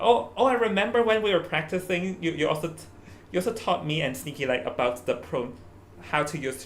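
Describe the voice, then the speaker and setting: A man speaks with a Hong Kong accent. His high voice moves at a fairly quick pace. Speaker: esports caster. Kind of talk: live esports commentary chat. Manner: halting, repeats words.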